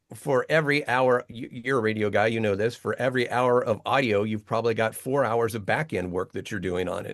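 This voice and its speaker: Against a quiet background, a man with a plain, everyday voice speaks at medium pitch and a fairly quick pace, with hardly any pauses and ordinary pitch variation. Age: 50s. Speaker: voice artist and Bible translator. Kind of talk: casual interview. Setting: home voiceover studio.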